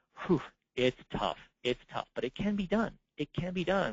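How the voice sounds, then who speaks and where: A man's voice with vocal fry. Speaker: certification program manager giving training. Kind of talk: recorded webinar presentation. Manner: fast; halting, many fillers and repeats.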